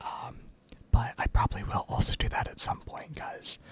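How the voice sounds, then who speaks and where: Whispered words come at a fairly slow rate, with background noise clearly present. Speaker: ASMR creator. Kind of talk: ASMR soft-speaking casual talk to camera. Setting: home recording with dual dynamic microphones and audio interface. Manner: soft-spoken, rambling, with frequent filler words.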